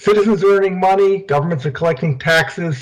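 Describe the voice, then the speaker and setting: A man speaks loudly. His pace is fairly quick. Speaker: keynote speaker, development bank treasurer. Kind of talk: prerecorded keynote presentation. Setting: prerecorded video. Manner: trying to speak loudly.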